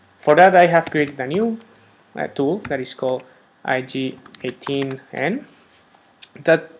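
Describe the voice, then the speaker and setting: Over noticeable background noise, a man with a fairly high pitch and ordinary pitch variation talks at a fairly slow pace, with long, frequent pauses. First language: Spanish. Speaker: software developer. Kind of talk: tutorial. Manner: hesitant, many fillers.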